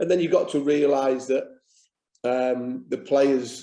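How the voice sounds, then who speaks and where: A man with a Yorkshire accent, medium pitch, a dark, mellow tone and fairly even intonation. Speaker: football manager. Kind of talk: interview.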